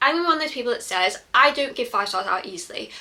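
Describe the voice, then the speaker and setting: A woman with a British accent talks at a very fast pace in an animated tone. Noticeable background noise sits behind her. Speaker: book reviewer vlogger. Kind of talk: casual book review monologue.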